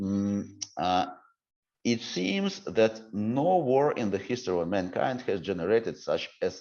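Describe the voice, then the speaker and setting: Against a quiet background, a man speaks fairly slowly with lively intonation. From Ukraine. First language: Ukrainian. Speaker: civic reform expert. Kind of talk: interview. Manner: halting, many fillers and restarts.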